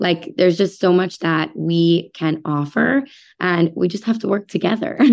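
This is a woman with an ordinary speaking voice, fairly low in pitch, talking at a moderate pace with ordinary pitch variation. The recording is very clean, with a silent background. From New York City suburbs. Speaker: physician. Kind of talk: interview.

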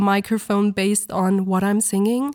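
The recording is very clean, with a silent background and a dry, close sound with no echo. A woman speaks at a medium pitch in a dark, mellow tone. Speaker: soundtrack vocalist. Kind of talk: interview.

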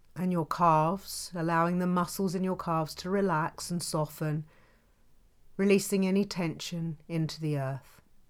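A calm, soothing tone with monotone, flat intonation. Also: woman, fairly low pitch for a woman, very clean recording, silent background. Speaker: yoga and meditation teacher. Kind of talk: guided meditation. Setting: home recording. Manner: slow, calm, soothing, gentle and evenly paced.

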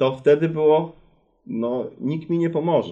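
This man's voice is fairly high in pitch yet dark and mellow in tone. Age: 40s. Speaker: company CEO. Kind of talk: interview.

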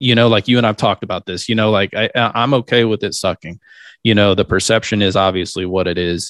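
Fairly low male voice, very fast and fairly even in intonation, with a dry, close sound, no echo and a quiet background. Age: 40s. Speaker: sales consultant. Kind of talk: casual interview.

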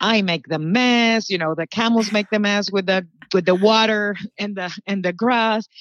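A woman in a Spanish accent speaks at a moderate pace and medium pitch with fairly even intonation against a quiet background. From Puerto Rico. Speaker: public relations manager. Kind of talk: casual interview.

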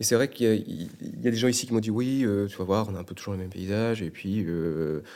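A man's dark, mellow voice sits fairly low in pitch and moves at a fairly quick pace. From Brittany, France. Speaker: travel advisor. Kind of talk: interview.

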